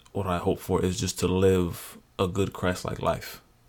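The pace is fairly slow. The speaker has an American accent. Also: man. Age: 20s. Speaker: college student. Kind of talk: casual chat.

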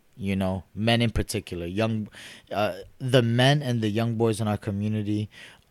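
A man speaks with a New York accent at a medium pitch. The sound is dry and close with no echo, on a very clean recording with a silent background. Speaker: city council candidate. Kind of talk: casual chat.

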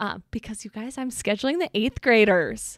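A woman is heard on a very clean recording with a silent background and a dry, close sound with no echo. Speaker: high school counselor. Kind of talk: casual chat.

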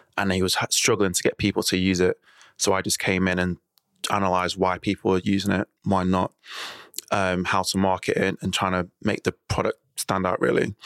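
With a very deep, low pitch, a man speaks at a moderate pace in a monotone, flat intonation and very even loudness, in a dry, close sound with no echo against a silent background in a very clean recording. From northern England, Manchester. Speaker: financial protection advisor. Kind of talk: interview.

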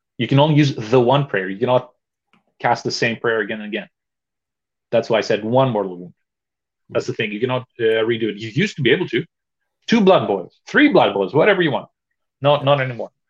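Lively in intonation, a man with a Greek accent talks at medium pitch and a very fast pace. He leaves long, frequent pauses. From Greece. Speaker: miniature painter and wargamer. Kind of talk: casual chat. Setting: video call. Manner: excitable.

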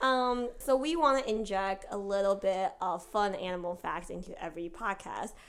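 A woman with a normal speaking voice and medium pitch talks at a moderate pace with hardly any pauses. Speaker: podcast co-host. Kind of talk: casual chat.

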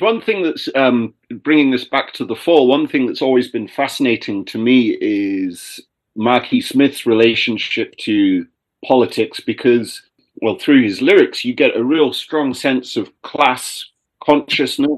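A man talks fairly slowly at a medium pitch with lively intonation, in an ordinary speaking voice, against a quiet background. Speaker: podcast co-host. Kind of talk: casual chat.

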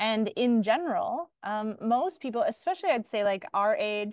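In a Canadian accent, a woman speaks at a fairly slow pace. Her pitch is high and her intonation lively. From Canada. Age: 40s. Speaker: podcast host, yoga and mindfulness enthusiast. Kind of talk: casual chat.

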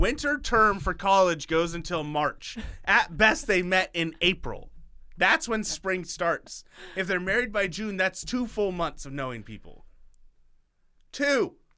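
With a raised, projected voice, a man speaks at high pitch in a bright, sharp tone, with lively intonation at a fairly slow pace. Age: 30s. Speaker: podcast co-host. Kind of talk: casual chat. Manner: animated.

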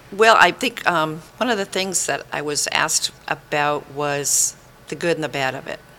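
A woman with an American accent and a very deep, low pitch, lively intonation, big swings in loudness, a moderate pace and noticeable background noise. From Maine, US. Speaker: goat farmer. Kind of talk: interview. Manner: halting.

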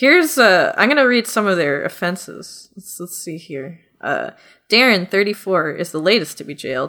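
The woman's tone is bright and sharp, and she speaks at a moderate pace. Her voice shows big swings in loudness and very wide pitch swings. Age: 20s. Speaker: comedy news podcast co-host. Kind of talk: casual chat.

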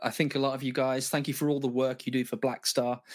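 He speaks with a Birmingham accent at a fairly high pitch. His pace is fairly quick. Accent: Birmingham (Brummie) English. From Birmingham, England. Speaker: guitar gear product specialist. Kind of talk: gear demonstration.

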